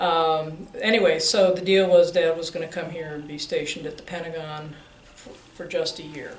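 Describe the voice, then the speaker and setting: An American accent at a moderate pace, with noticeable background noise. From Arlington, Virginia. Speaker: optician business owner. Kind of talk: oral history interview.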